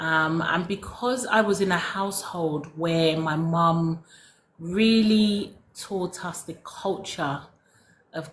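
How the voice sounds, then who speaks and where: A woman's fairly low, somewhat breathy voice with ordinary pitch variation. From London, England. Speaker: former cosmetic science consultant, soap-making teacher. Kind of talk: casual interview chat.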